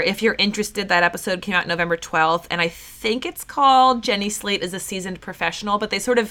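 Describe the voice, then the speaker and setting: A woman's bright, sharp tone at a fairly quick pace, with ordinary pitch variation. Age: 30s. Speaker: podcast host. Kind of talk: casual chat.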